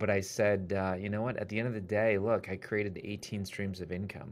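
A man with an American accent speaks in a normal speaking voice, fairly low in pitch, with fairly even intonation. The recording is very clean, with a silent background. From US Midwest, Wisconsin. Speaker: author and publisher. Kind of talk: interview.

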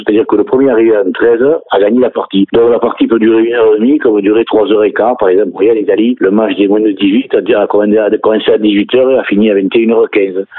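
Over noticeable background noise, a man talks at a fairly quick pace with hardly any pauses, a medium pitch, fairly even intonation and very even loudness. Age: 60s. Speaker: sports federation president. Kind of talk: radio interview. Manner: halting.

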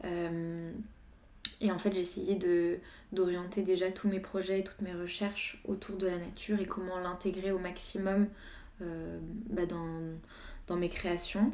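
Very slowly and with long, frequent pauses, a woman speaks at a medium pitch in a dark, mellow tone with monotone, flat intonation. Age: 20s. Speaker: visual artist. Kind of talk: casual chat.

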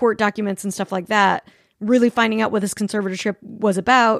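In an ordinary speaking voice, a woman with an American accent talks at a fairly high pitch, the sound dry and close with no echo on a very clean recording with a silent background. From Utah, Salt Lake City. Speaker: podcast host. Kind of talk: casual chat.

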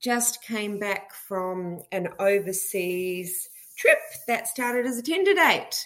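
The speaker has an Australian accent and ordinary pitch variation. The pace is very slow. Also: woman, medium pitch for a woman. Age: 50s. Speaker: listener caller. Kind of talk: voice message.

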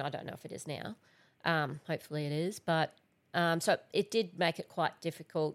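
A woman's fairly low voice at a fairly quick pace, with ordinary pitch variation, in a very clean recording with a silent background. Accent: strong Australian. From Central Queensland, Australia. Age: 40s. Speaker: environmental scientist. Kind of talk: casual chat.

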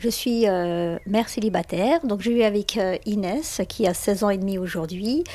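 A woman at a fairly slow pace with ordinary pitch variation, amid noticeable background noise. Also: medium pitch for a woman, hardly any pauses. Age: 50s. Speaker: parent. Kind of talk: interview testimony.

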